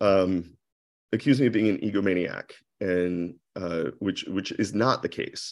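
A man talks at a fairly slow pace in a normal speaking voice with an American accent. His pitch is fairly low and varies in an ordinary way. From US Midwest (Akron, Ohio). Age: 40s. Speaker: interior designer. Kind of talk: interview podcast. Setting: video call.

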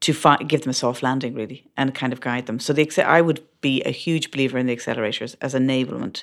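A woman's very deep, low voice in an Irish accent at a very fast pace, in a very clean recording with a silent background. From Ireland. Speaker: startup founder and CEO. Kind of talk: interview. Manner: halting, many fillers.

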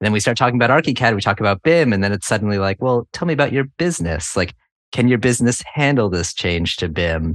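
A man with an American accent talks at a very fast pace with lively intonation. The sound is dry and close with no echo, over a quiet background. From New England (Connecticut). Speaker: architect and BIM consultant. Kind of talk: interview conversation.

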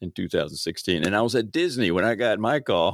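An ordinary speaking voice from a man with an American accent, lively intonation and a moderate pace. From Baltimore, Maryland. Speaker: podcast host. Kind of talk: casual interview.

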